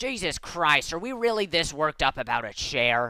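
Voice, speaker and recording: Someone in a put-on, growling character voice speaks at a middle pitch and a moderate pace, the pitch swinging very widely. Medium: read story. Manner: flat, growling.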